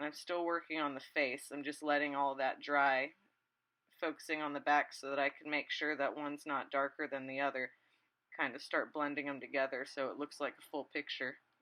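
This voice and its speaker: A woman speaks with a bright, sharp tone and a very deep, low pitch for a woman. Her intonation is monotone and flat, and her pace is fairly quick. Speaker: watercolor artist. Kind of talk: time-lapse painting commentary.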